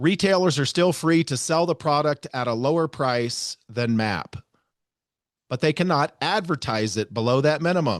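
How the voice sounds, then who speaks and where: A man with a fairly high-pitched voice speaks at a moderate pace with lively intonation. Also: dry, close sound with no echo, quiet background. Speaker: podcast host. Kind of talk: solo podcast commentary reading from a lawsuit. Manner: sarcastic, heavy inflection.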